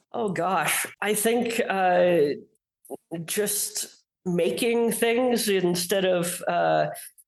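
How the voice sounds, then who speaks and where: A woman speaks very slowly at a medium pitch with ordinary pitch variation. Audible room echo surrounds her voice. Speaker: fantasy author. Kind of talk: interview. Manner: halting, many fillers.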